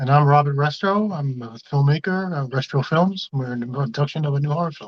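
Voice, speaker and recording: A fairly high-pitched, somewhat breathy male voice at a fairly quick pace, with ordinary pitch variation and big swings in loudness. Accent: American. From Bronx, New York. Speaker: filmmaker. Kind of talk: casual interview.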